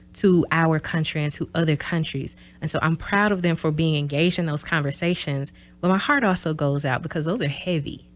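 A woman's very deep, low voice in a Southern US accent, at a fairly quick pace with fairly even intonation. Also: very clean recording, silent background. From US South, small-town south Mississippi. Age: 30s. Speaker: university professor. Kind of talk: interview.

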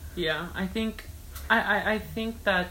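In an American accent, a woman talks at a fairly slow pace with ordinary pitch variation, and the room echo is audible. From US. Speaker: student speaker. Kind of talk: casual chat.

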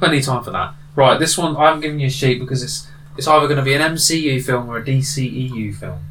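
A man with a British accent speaks at a fairly quick pace in a monotone, flat intonation. Noticeable background noise runs underneath. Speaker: co-host. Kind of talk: casual chat.

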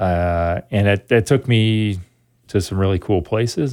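With an American accent, a man uses a normal speaking voice at a fairly low pitch, with ordinary pitch variation. The recording is very clean, with a silent background. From Wisconsin (Sun Prairie, near Madison). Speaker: economics professor. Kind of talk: interview.

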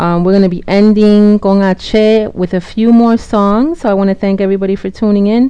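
A woman's dark, mellow, medium-pitched voice, fairly slow and monotone, flat in intonation. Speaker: radio host. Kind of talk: radio DJ patter. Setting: radio show broadcast. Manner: warm, welcoming, bilingual English-Spanish.

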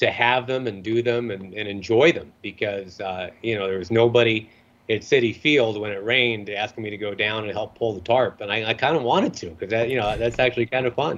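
Speaking in an American accent, a man moves at a fairly quick clip. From US Northeast (Rochester, New York). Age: 50s. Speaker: sports play-by-play broadcaster. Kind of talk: interview. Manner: quick-witted.

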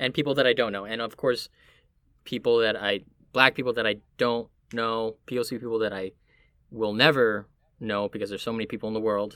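Over a very clean recording with a silent background, a man of medium pitch speaks in a bright, sharp tone with monotone, flat intonation. His pace is fairly quick, yet he takes long, frequent pauses. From Miami, Florida, Puerto Rican family. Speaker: actor. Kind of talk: casual chat.

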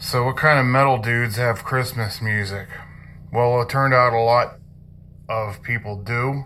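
With noticeable background noise behind him, a man speaks fairly slowly at a medium pitch with fairly even intonation. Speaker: heavy metal segment host. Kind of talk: pre-recorded radio segment. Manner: casual, friendly.

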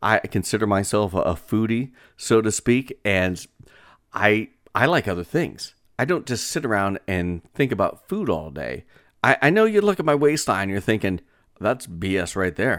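A man with an unremarkable speaking voice and a fairly low pitch is heard on a very clean recording with a silent background. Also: lively intonation, moderate pace. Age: 40s. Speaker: podcast host and radio broadcaster. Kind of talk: casual solo podcast monologue. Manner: conversational with many filler words.

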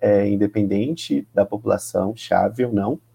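A man speaks fairly slowly with a dark, mellow tone. His pitch varies in an ordinary way, and the sound is dry and close with no echo. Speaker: teacher and HIV youth activist. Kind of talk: casual chat.

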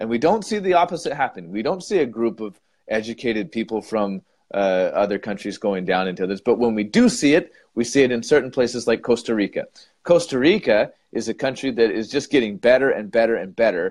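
In an ordinary speaking voice, a man with an American accent talks at a fairly quick pace, his medium pitch lifted by lively intonation. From United States. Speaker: English teacher and podcast co-host. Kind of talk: casual debate chat.

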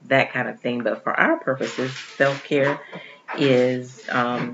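A woman's voice sits very deep and low, with fairly even intonation. Noticeable background noise is present. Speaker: podcast co-host. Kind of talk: casual chat. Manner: speaking low.

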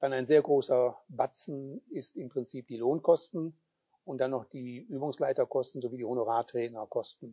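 The speaker has a normal speaking voice and a moderate pace with fairly even intonation. Loudness swings in a big way. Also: man, medium pitch for a man. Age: 60s. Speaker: sports club chairman. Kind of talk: interview. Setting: video recording.

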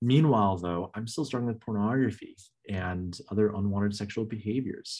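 In a plain, everyday voice, a man speaks with an American accent on a very clean recording with a silent background. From Northern California. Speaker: minister. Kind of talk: testimony.

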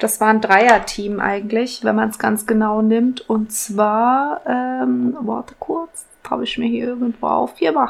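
A woman talks at a very slow pace with hardly any pauses, against noticeable background noise. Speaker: podcast co-host. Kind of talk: casual chat.

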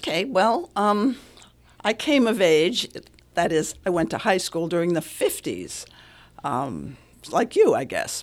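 Speaking very slowly with long, frequent pauses, a woman at a medium pitch makes very wide pitch swings, and vocal fry runs through her voice. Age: 80s. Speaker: relationship coach and author. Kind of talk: radio interview. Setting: studio.

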